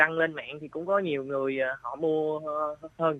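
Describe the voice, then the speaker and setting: Speaking with a fairly high pitch, a man keeps a moderate pace. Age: 20s. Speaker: mushroom farmer. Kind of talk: interview. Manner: halting.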